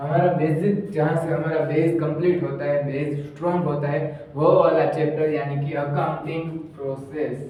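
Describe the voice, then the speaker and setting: A man's fairly high voice, flat and monotone, with hardly any pauses, audible room echo and noticeable background noise. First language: Gujarati (speaking Hindi). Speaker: commerce teacher. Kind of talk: lecture. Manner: speaking louder than usual.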